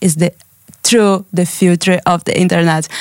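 A woman speaks at a medium pitch with a Brazilian accent. The sound is dry and close, with no echo. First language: Portuguese. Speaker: artist. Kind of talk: interview. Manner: halting.

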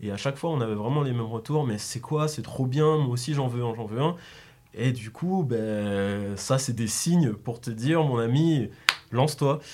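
Noticeable background noise under a man's medium-pitched voice, fairly slow in pace. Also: ordinary pitch variation. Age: 20s. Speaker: graphic designer and clothing brand co-founder. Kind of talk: interview.

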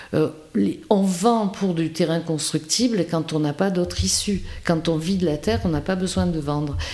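A woman speaks fairly slowly in a fairly low pitch, with ordinary pitch variation. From rural France. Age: 60s. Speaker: village mayor, former school head. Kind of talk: interview. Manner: halting, frequent repetitions.

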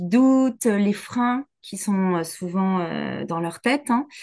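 The speaker is a woman with a medium pitch. The background is quiet. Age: 40s. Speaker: business coach. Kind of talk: casual interview chat.

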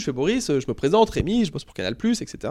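His speech is very fast. The man's pitch swings very widely. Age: 30s. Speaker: basketball commentator. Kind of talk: casual interview.

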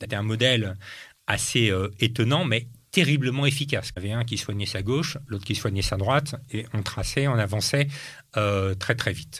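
This is a man with a plain, everyday voice at a medium pitch. His pitch varies in an ordinary way and his pace is moderate. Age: 50s. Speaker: entrepreneur and former politician. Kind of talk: interview.

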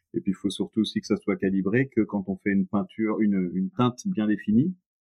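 This man's pitch is fairly low. He keeps a moderate pace. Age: 40s. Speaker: paint company founder and painter. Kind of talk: interview. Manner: halting, many repetitions.

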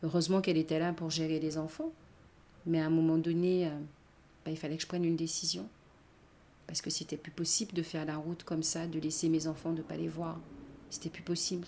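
Her fairly low, dark, mellow voice stays monotone and flat as this woman talks at a fairly quick pace with long, frequent pauses. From Guadeloupe (Basse-Terre). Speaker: gendarmerie employee. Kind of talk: testimony.

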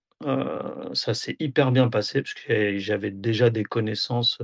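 A man at a very slow pace with ordinary pitch variation, in a dry, close sound with no echo. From France, Auxerre (Burgundy). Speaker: football video analyst and assistant coach. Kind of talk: interview. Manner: hesitant, many fillers.

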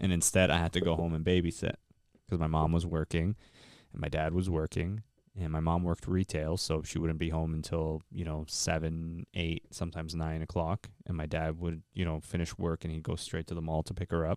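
Monotone, flat intonation at a fairly quick pace, in a dry, close sound with no echo and a very clean, silent background. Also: man, very deep, low pitch for a man. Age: 30s. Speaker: podcast host. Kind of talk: casual chat.

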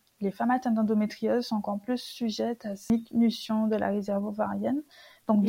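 Somewhat breathy and fairly high in pitch, a woman's voice has a dark, mellow tone and a flat, monotone delivery. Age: 30s. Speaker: social worker sharing her endometriosis story. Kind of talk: testimony.

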